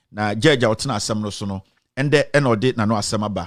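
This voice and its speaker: A man's fairly low voice at a very fast pace, with ordinary pitch variation, on a very clean recording with a silent background. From Ghana. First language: Twi. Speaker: online commentator, defendant in the case. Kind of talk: casual commentary and reading aloud a ruling. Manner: code-switching between English and Twi; hesitant, many fillers.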